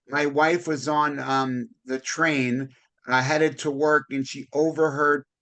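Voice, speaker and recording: A man talks at a very slow pace in a fairly high pitch. His tone is bright and sharp, his intonation monotone and flat. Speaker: podcast host, real estate broker. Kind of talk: casual interview chat. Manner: loud.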